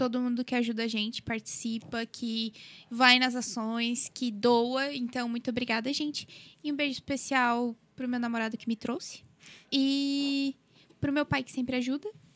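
A woman with a high voice speaks at a moderate pace with fairly even intonation, recorded very cleanly against a silent background. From southern Brazil, Criciúma. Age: 20s. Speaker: law student, volunteer group member. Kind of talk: casual chat.

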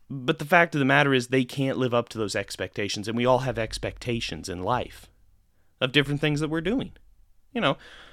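A plain, everyday voice from a man at medium pitch and a fairly quick pace, in a very clean recording with a silent background. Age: 20s. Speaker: sports podcast host. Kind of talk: solo sports commentary podcast. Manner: casual, filler-heavy.

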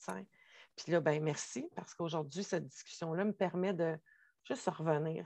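Her voice is fairly low in pitch, and her intonation stays fairly even. The woman is recorded against a quiet background. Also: dry, close sound with no echo. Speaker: spiritual podcast co-host. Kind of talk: casual conversation.

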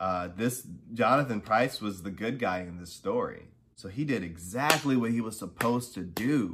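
A man's ordinary speaking voice, medium-pitched, at a moderate pace with ordinary pitch variation and big swings in loudness. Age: 30s. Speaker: podcast host. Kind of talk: casual monologue. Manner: casual, many filler words.

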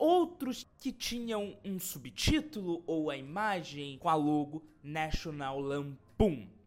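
A man's voice with very wide pitch swings. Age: 20s. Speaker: YouTube film reviewer. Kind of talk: film review monologue.

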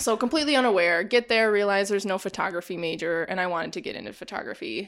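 In an Upper Midwest accent, a woman talks at a very fast pace with lively intonation. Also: very clean recording, silent background. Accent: Upper Midwest American. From Wisconsin, US (Janesville). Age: 20s. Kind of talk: casual interview.

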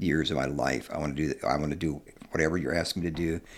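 A man with a Midwestern American accent talks fairly quickly in a very deep, low voice with vocal fry. His intonation stays fairly even. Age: 70s. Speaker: author and long-distance hiker. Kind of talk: casual interview chat.

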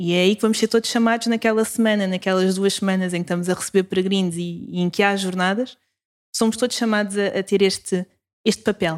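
A woman's medium-pitched voice with a European Portuguese accent, very fast pace and fairly even intonation, on a very clean recording with a silent background. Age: 20s. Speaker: youth ministry coordinator. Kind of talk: casual interview.

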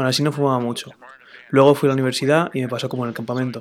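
Speaking very fast, a medium-pitched man keeps a monotone, flat intonation. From New York. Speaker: recovering heroin addict and podcaster. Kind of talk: testimony.

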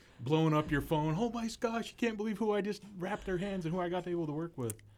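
A man talking at a very fast pace. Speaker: podcast co-host. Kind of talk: casual chat.

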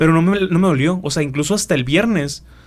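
This is a man's voice. It sits high in pitch with ordinary pitch variation. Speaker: podcast co-host. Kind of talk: casual chat.

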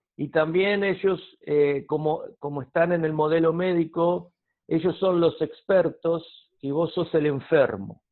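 Very slowly, a man speaks in a high voice. His intonation stays fairly even. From Argentina. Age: 50s. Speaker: counselor. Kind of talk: interview.

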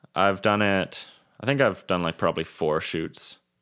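In a very clean recording with a silent background, a man with a Western Canadian accent speaks in a relaxed tone at a fairly slow pace, his very deep, low pitch showing ordinary variation. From Kelowna, British Columbia, Canada. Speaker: videographer and photographer. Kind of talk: casual interview. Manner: relaxed, laid-back.

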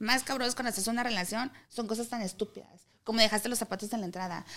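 This woman's voice sits fairly high in pitch and has a bright, sharp tone. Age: 30s. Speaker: podcast host. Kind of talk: casual chat.

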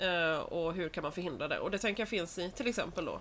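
The recording is very clean, with a silent background. A woman talks at a very fast pace. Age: 30s. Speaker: podcast co-host. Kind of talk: casual chat. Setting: in her flat with balcony door open.

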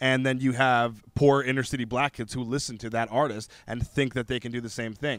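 This man has an unremarkable speaking voice and a medium pitch. He talks at a fairly quick pace with fairly even intonation and hardly any pauses. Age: 30s. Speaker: rapper. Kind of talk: casual chat.

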